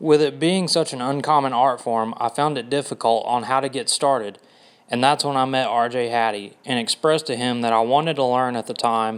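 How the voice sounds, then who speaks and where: A man with a Southern US accent, medium pitch, fairly even intonation and a fairly quick pace, on a very clean recording with a silent background. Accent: Southern American. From US South, Georgia (Dalton). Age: 20s. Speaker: makeup artist. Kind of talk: audition video monologue.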